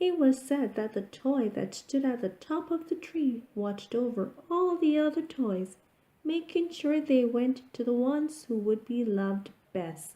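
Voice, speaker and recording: A woman uses a put-on character voice. It is high, and the pace is moderate. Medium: read story.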